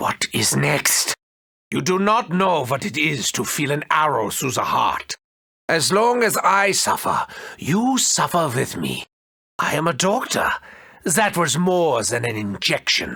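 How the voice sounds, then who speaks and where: A man puts on a character voice at a fairly high pitch. He talks at a fairly slow pace. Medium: video game. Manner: theatrical, gloating, maniacal.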